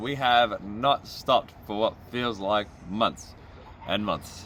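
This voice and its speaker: A man speaks with an Australian accent. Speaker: drift driver and vlogger. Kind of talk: casual vlog to camera.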